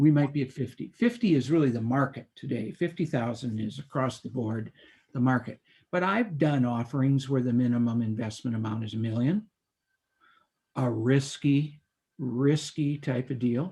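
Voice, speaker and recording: A man talks at a moderate pace in a medium-pitched voice with ordinary pitch variation. His tone is dark and mellow, and somewhat breathy. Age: 70s. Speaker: securities lawyer. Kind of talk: interview.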